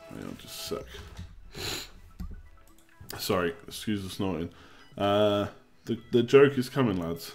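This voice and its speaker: Very slow speech with long, frequent pauses, big swings in loudness and ordinary pitch variation, over music in the background. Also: man, fairly low pitch for a man. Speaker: live streamer. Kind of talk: casual, informal.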